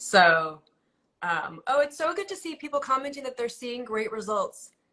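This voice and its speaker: A woman speaks in a raised, projected voice with a high pitch and a bright, sharp, animated tone. Her pitch swings very widely at a moderate pace. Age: 40s. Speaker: beauty influencer and live chat host. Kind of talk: live-streamed casual chat. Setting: live video call stream.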